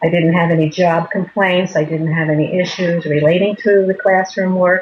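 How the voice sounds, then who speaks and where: A woman with an American accent speaks at a moderate pace in a fairly low voice with fairly even intonation, amid noticeable background noise. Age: 60s. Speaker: retired teacher. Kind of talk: interview.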